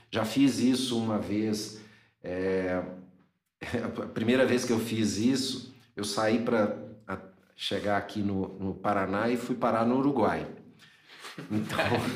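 Recorded with audible room echo, a man speaks at a very slow pace with long, frequent pauses. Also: medium pitch for a man, fairly even intonation. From Minas Gerais, Brazil (Governador Valadares). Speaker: motorcycle traveler and photographer. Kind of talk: casual interview chat.

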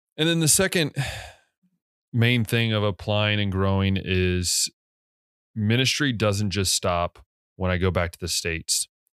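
In an American accent, a man with an ordinary speaking voice talks at a fairly slow pace, his fairly low pitch showing ordinary variation in a dry, close sound with no echo. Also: very clean recording, silent background. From US. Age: 20s. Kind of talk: casual monologue.

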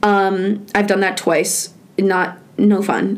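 The room adds an audible echo. Within it, a woman speaks at a medium pitch. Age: 20s. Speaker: student radio podcast host. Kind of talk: casual chat. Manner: casual with many fillers.

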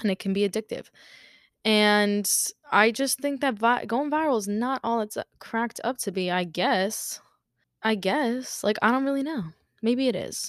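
With a very clean recording, a silent background and a dry, close sound without echo, a woman talks at a moderate pace in a fairly high voice with ordinary pitch variation. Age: 20s. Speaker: podcast host. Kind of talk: casual solo monologue. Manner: casual, filler-heavy speech.

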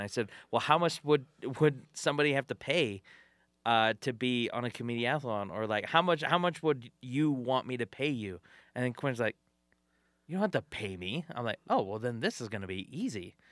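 A plain, everyday voice with an American accent, lively intonation and a fairly quick pace, in a dry, close sound with no echo over a very clean, silent background. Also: man. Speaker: podcast host and comedian. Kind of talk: casual chat. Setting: studio.

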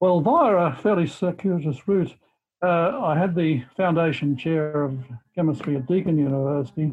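A man talks in an Australian accent at a fairly high pitch. His pace is moderate and his pitch variation ordinary. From Australia, rural Victoria. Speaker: chemistry professor. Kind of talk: interview.

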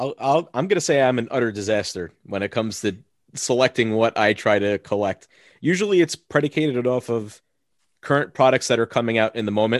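Against a quiet background, a man with an American accent and an ordinary speaking voice talks at a fairly quick pace, medium pitch and ordinary pitch variation, in a dry, close sound with no echo. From Long Island, New York. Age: 20s. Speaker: wrestling card podcaster. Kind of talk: casual chat. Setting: video call.

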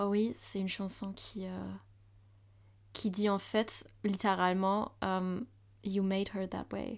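On a very clean recording with a silent background, a woman speaks at a very slow pace with long, frequent pauses and monotone, flat intonation. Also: medium pitch for a woman. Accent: German. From Germany, Hamburg. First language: German (speaking French). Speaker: university student. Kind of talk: casual chat.

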